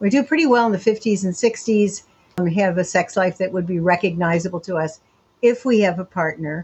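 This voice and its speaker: Somewhat breathy, a woman speaks at a moderate pace and medium pitch with ordinary pitch variation. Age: 70s. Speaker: sexologist and sociologist. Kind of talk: interview. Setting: remote call from home.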